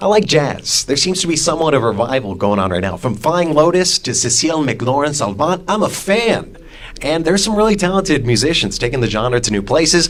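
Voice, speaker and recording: Over noticeable background noise, a man with a fairly high pitch talks at a fairly quick pace with hardly any pauses, his pitch swinging very widely. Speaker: radio host. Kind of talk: radio interview. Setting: radio studio.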